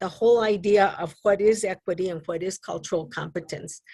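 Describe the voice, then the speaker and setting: Speaking at a moderate pace, a woman uses a medium pitch with ordinary pitch variation. Her tone is dark and mellow, with a slight New Mexico accent. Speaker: advisory council member. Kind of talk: public meeting discussion. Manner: halting.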